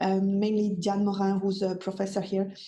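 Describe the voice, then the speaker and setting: With a French accent, a woman speaks at a medium pitch and moderate pace amid audible room echo. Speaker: psychology professor and suicide researcher. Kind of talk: webinar lecture. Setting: online webinar, screen sharing. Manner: halting, many fillers and repetitions.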